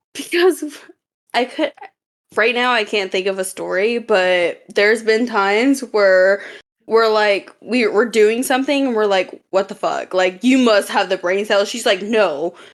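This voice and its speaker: On a very clean recording with a silent background, a woman speaks at a fairly high pitch. Her pace is fairly slow, with ordinary pitch variation. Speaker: podcast co-host. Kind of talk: casual chat.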